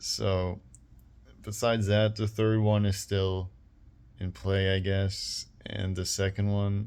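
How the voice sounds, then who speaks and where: At a very slow pace, a man talks with a fairly low pitch and fairly even intonation. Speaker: YouTuber. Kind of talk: casual vlog monologue. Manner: flat, low-expression tone; slightly more expressive than usual.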